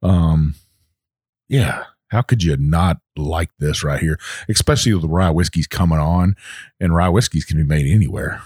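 A man with a slight Texan accent and very deep, low pitch, at a moderate pace with long, frequent pauses, in a dry, close sound with no echo and a very clean recording with a silent background. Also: ordinary pitch variation. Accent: Southern US, Texas-tinged. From US South (Texas, Virginia, Kentucky mix). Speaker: whiskey podcast co-host, military veteran. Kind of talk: casual chat.

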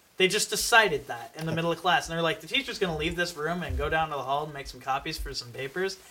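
A man with an American accent talks at a very fast pace in a fairly high pitch. Noticeable background noise sits behind him. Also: ordinary pitch variation, hardly any pauses. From New York. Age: 20s. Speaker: podcast guest. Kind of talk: casual chat.

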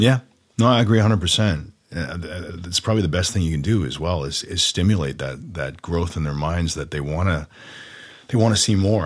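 A man with a Canadian accent speaks at a very deep, low pitch with vocal fry. His pace is fairly quick and his pitch variation ordinary. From Ontario, Canada (Orono, near Oshawa). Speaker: actor. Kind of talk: casual chat. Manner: halting.

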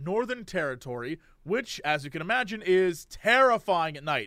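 A man speaks in a raised, projected voice with a bright, sharp tone. His delivery is animated, and his pitch swings very widely. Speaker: podcast co-host. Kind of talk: reading aloud. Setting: video call.

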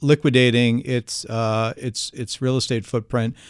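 In a New Jersey accent, a man of medium pitch is heard on a very clean recording with a silent background and a dry, close sound with no echo. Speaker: podcast host, analyst. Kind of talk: interview.

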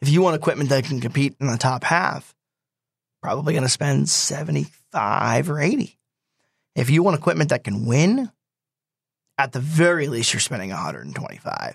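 With vocal fry in his fairly high voice, a man talks at a fairly quick pace and with lively intonation. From New Jersey, Swedesboro. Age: 20s. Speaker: stock car racing driver. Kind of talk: interview. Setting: studio.

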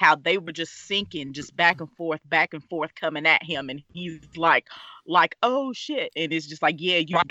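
A plain, everyday voice from a woman with an American accent, fairly low in pitch, with ordinary pitch variation and a moderate pace. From US South (Alabama). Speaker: staff writer. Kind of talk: casual podcast discussion.

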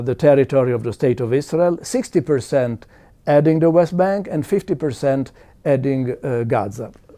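Pitch rises and falls in an ordinary way over a dark, mellow tone. The pace is moderate. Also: man. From Italy. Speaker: demographer. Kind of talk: interview. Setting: conference. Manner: halting.

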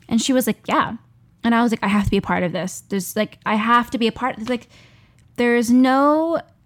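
A woman's voice with ordinary pitch variation, in a dry, close sound with no echo. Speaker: actor and performer. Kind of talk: casual chat.

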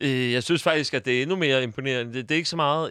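At a very fast pace, a man speaks with medium pitch and fairly even intonation on a very clean recording with a silent background. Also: dry, close sound with no echo. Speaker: football podcast host. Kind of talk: casual chat. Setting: studio. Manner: halting, many filler sounds.

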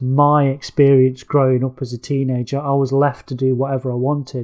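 Speaking with an East Midlands accent, a man has a fairly high pitch and a dark, mellow tone. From England, Nottingham area working-class. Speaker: author and film critic. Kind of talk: casual chat. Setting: video call. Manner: halting, many fillers and repeats.

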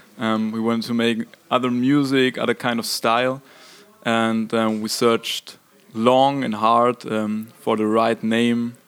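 In a German accent, a man speaks at a fairly slow pace and medium pitch, his intonation monotone and flat. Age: young. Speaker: rock band singer and guitarist. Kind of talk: interview. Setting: concert venue. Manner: halting.

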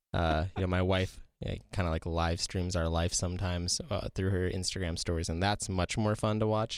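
A man's very deep, low voice with fairly even intonation, very even loudness and hardly any pauses, on a very clean recording with a silent background. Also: moderate pace. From South Dakota. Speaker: public broadcasting outreach manager. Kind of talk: casual chat. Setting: studio.

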